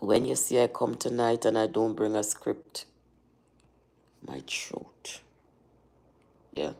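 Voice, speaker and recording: A woman's very deep, low voice with a dark, mellow tone, vocal fry and lively intonation, at a very slow pace with long, frequent pauses. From Jamaica. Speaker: journalist and livestreamer. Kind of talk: casual livestream chat. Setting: livestream. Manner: rough, not smooth.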